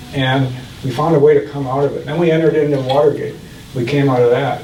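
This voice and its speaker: A man with an American accent talks at a very fast pace in a fairly high pitch with monotone, flat intonation. Audible room echo and noticeable background noise surround him. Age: 70s. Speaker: mayor and author. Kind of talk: book talk Q&A.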